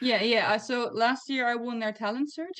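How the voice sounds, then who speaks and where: A woman speaks at a fairly quick pace with a non-native accent. Her pitch variation is ordinary. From Netherlands. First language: not English. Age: 20s. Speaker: comic writer. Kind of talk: interview.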